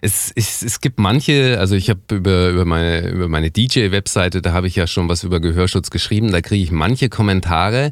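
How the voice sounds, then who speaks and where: Fairly quick, nearly pause-free speech with ordinary pitch variation on a very clean recording with a silent background. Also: man, very deep, low pitch for a man. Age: 40s. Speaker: DJ and podcast host. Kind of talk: scripted podcast intro and outro; interview podcast. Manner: halting, repeats words.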